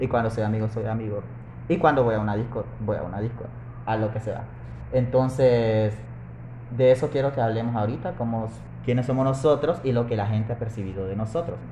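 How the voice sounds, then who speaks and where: A man with a medium pitch speaks at a fairly quick pace with fairly even intonation. His speech is broken by long, frequent pauses. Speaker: podcast host. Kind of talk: casual chat. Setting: café.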